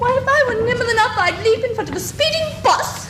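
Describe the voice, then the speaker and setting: Using a put-on, squeaky character voice at an extremely high pitch, a woman talks at a fairly quick pace with slight echo and clear background noise. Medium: stage play. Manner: doleful, self-pitying.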